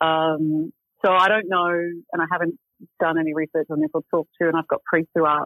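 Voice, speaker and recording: This woman speaks with an Australian accent at a very fast pace. Her pitch is fairly low. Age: 50s. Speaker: magazine editor. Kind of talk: interview.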